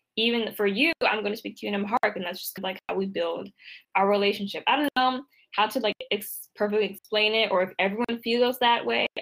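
Speaking very fast with a DC area accent, a woman keeps her fairly high pitch on a fairly even line. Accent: American (DC area). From US, Washington DC area, Ethiopian family. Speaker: copywriter. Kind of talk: interview.

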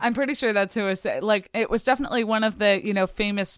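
A woman is speaking. She talks with a Philadelphia accent. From US, Philadelphia. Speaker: podcast co-host. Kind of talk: casual chat. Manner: animated.

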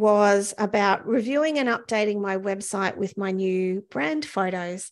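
A woman speaks with a New Zealand accent. Her pitch variation is ordinary. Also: quiet background. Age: 50s. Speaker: podcast host. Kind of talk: solo podcast monologue. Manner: casual, with frequent fillers.

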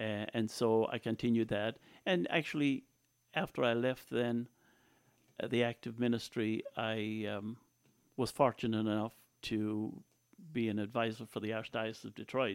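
A man with an Irish accent speaks at a moderate pace and medium pitch, with fairly even intonation. He leaves long, frequent pauses, and the recording is very clean with a silent background. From Ireland, County Tipperary. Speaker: former priest and local politician. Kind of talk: interview.

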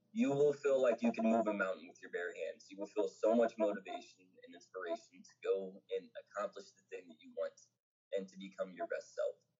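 A man with an American accent talks at a fairly quick pace, his loudness swinging widely. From New Jersey, Pennsauken. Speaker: poet and nonprofit co-founder. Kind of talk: casual chat.

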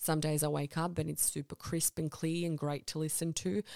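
Recorded dry and close with no echo, a woman with an Australian accent speaks at a moderate pace. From Balkans (born in Croatia, childhood in Serbia), then Sydney from age eight. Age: 20s. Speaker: podcast host. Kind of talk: scripted monologue introduction.

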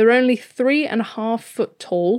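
This woman talks at a moderate pace with a fairly high pitch. She has a plain, everyday voice. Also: very clean recording, silent background. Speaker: podcast host. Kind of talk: casual chat.

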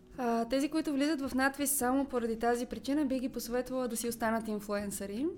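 This woman speaks fairly quickly with hardly any pauses. Her high pitch follows fairly even intonation. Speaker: actress. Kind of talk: interview.

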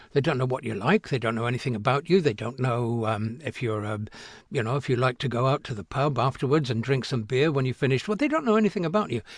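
Very fast and somewhat breathy, a man speaks at medium pitch with lively intonation. The background is quiet. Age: 70s. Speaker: actor. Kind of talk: interview. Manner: halting.

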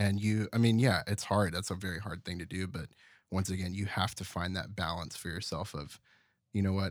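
This man has a very deep, low pitch and fairly even intonation. He talks at a fairly quick pace. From Terrell, Texas. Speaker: audio producer and musician. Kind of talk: casual interview. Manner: reserved, few words.

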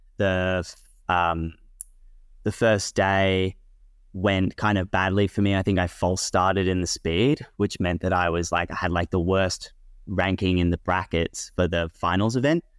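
A man's very deep, low voice with an Australian accent at a fairly slow pace, with fairly even intonation and a dry, close sound with no echo on a very clean recording with a silent background. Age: 20s. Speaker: competition climber. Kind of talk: interview.

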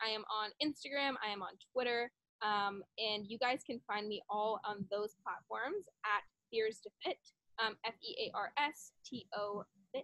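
A woman at a fairly slow pace, with a fairly high pitch and ordinary pitch variation. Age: 20s. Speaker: fitness coach and social media creator. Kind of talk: casual chat. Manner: animated.

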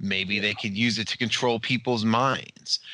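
A man's bright, sharp, medium-pitched voice, fairly slow and fairly even in intonation, over a quiet background. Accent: American. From United States. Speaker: podcast co-host. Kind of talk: casual chat.

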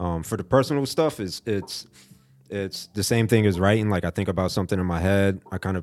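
Over music in the background, a man speaks in a very deep, low pitch. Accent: American. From South Florida (Fort Lauderdale). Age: 30s. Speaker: graphic designer and photographer. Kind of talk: casual interview.

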